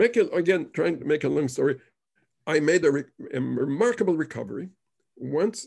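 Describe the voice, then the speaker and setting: At a moderate pace, a man talks with a fairly high pitch, lively intonation and some vocal fry. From Israel. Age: 80s+. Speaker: author and war veteran. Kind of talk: interview. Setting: video call. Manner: halting.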